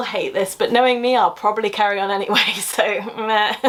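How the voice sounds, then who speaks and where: With a British accent, a woman talks at a very fast pace over noticeable background noise. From London area, England. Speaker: science communicator YouTuber. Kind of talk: casual Q&A vlog. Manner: animated.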